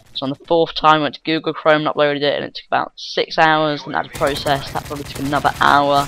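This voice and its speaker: A man is speaking. He has a British accent. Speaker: gaming commentator. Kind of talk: gameplay commentary. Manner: mutters and gets tongue-tied; casual, many fillers.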